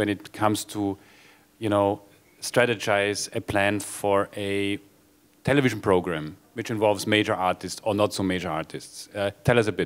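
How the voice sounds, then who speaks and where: A man speaks at a fairly low pitch and a moderate pace, with a non-native accent. The recording is very clean, with a silent background. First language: not English. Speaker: panel moderator. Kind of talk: panel discussion. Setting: stage with audience.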